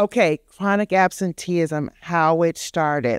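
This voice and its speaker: A woman speaks in an animated tone with ordinary pitch variation, recorded dry and close with no echo. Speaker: education consultant and conference presenter. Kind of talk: conference presentation.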